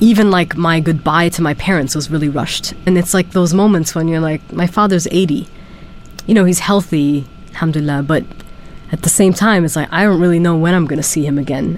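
A woman at fairly low pitch and a fairly quick pace, with ordinary pitch variation, amid noticeable background noise. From Germany. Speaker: PhD student in anthropology. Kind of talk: interview testimony.

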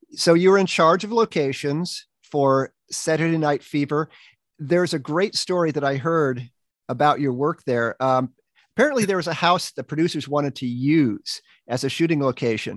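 Here a man has a normal speaking voice, fairly high in pitch. His pitch variation is ordinary and his pace moderate. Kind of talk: radio interview. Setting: studio.

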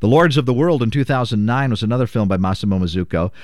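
A man with a medium pitch speaks at a fairly quick pace with lively intonation, in an unremarkable speaking voice. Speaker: radio host.

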